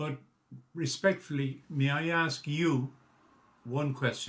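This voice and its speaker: In a Galway accent, a man speaks very slowly with a somewhat breathy voice. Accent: local Galway Irish. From Ireland, Ballygar, County Galway. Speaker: local historian and documentary presenter. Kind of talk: documentary narration. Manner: halting, with fillers and restarts.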